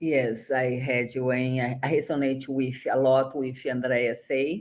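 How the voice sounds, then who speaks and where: Very slowly and in a monotone, flat intonation, a woman speaks with a very deep, low pitch. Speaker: network marketing entrepreneur. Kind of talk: casual chat.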